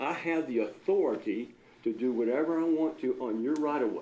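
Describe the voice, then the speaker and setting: A man talks at a moderate pace in a fairly high pitch with a dark, mellow tone. Audible room echo surrounds his voice. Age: 70s. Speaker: accountant and local business owner. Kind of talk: public comment at city council meeting. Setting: city council meeting. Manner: animated.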